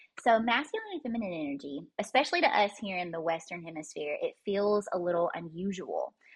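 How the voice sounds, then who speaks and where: A woman talks with a Southern US accent. Her pace is moderate. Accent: Southern US, noticeable. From Kentucky, US. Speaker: holistic life coach and breathwork practitioner. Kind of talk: casual interview chat. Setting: podcast interview.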